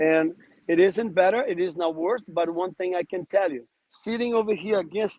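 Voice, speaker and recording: A man's voice, high in pitch, moves at a moderate pace and shows ordinary pitch variation. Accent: Portuguese. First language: Portuguese. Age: 50s. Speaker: podcast guest. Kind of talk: casual chat. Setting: outdoors.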